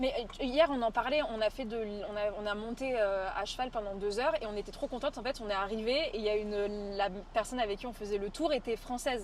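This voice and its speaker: A woman speaks at a fairly quick pace with fairly high pitch and ordinary pitch variation. Noticeable background noise can be heard. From France. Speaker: travel streamer. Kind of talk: casual chat on live stream. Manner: animated.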